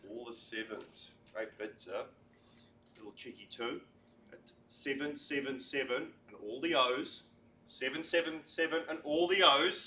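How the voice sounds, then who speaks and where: A man's fairly high, bright, sharp voice, upbeat in tone, at a fairly slow pace with ordinary pitch variation and big swings in loudness. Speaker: real estate auctioneer. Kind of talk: live auction calling, competition. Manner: upbeat, encouraging.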